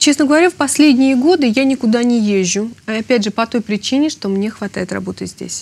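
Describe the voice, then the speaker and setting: Lively in intonation, a woman with a high pitch speaks at a fairly quick pace. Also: hardly any pauses. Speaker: opera singer. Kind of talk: interview.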